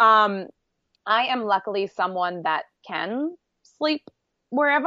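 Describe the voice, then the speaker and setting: A woman speaks with an Australian accent in an animated tone. Her intonation is lively. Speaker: travel blogger and producer. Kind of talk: casual chat. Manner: animated, laughs often.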